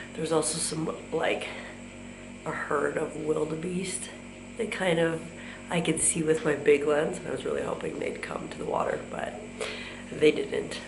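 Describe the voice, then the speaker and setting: Audible room echo and noticeable background noise surround a woman with a fairly low voice. She varies her pitch in an ordinary way and leaves long, frequent pauses. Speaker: travel vlogger. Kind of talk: casual vlog narration. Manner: hesitant, many fillers.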